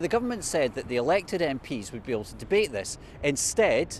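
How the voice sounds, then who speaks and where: Vocal fry runs through this man's fairly high voice, which has very wide pitch swings. His pace is fairly quick. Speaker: political correspondent. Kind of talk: news report. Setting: outdoors at a train station.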